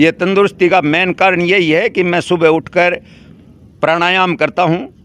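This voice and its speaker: Speaking at a high pitch, a man keeps very even loudness and fairly even intonation. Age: 70s. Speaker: elderly villager. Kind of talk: interview.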